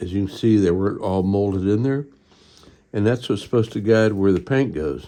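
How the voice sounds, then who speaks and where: At a moderate pace, a man speaks in a fairly low, dark and mellow voice with ordinary pitch variation over a quiet background. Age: 60s. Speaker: model-building hobbyist YouTuber. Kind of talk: casual tutorial.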